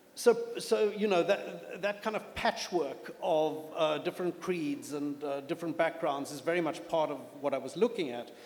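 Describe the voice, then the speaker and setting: This man's voice is high-pitched, moving at a moderate pace with ordinary pitch variation while noticeable background noise carries on. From South Africa. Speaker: novelist. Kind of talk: panel interview at literature festival. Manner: hesitant, with fillers and repeats.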